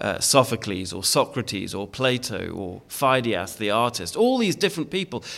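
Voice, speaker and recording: Using very wide pitch swings, a man with a British accent speaks at a medium pitch. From Britain. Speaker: preacher. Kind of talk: sermon. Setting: church. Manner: hesitant, many fillers.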